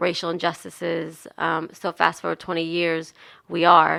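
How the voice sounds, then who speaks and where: A woman speaks at a moderate pace with a New Jersey accent, her fairly low voice bright and sharp, with vocal fry and a monotone, flat intonation. The recording is very clean with a silent background, and the sound is dry and close with no echo. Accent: New Jersey accent, clearly there. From New Jersey, US. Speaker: nonprofit founder and activist. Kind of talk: radio interview. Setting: radio studio.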